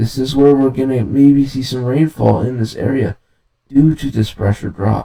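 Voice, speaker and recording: Here a man speaks in a dark, mellow tone at medium pitch. His pace is moderate. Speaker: amateur weather forecaster. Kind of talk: weather forecast commentary. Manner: casual.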